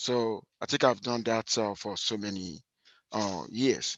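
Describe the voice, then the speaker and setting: In a Nigerian accent, a man talks at a fairly slow pace with ordinary pitch variation, the sound dry and close with no echo against a quiet background. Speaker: university statistics lecturer. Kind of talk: lecture. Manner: hesitant, many fillers and repetitions.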